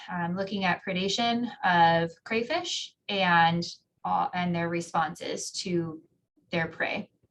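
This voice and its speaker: A woman with a Minnesotan accent, medium in pitch, fairly even in intonation, at a fairly slow pace. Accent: Minnesota. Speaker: geography professor. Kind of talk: interview answers.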